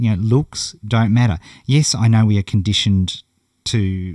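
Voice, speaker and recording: With a strong Australian accent, a man speaks in a fairly low, dark, mellow voice with ordinary pitch variation. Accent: broad Australian. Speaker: internet marketing coach. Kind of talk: online course lesson. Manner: casual, conversational.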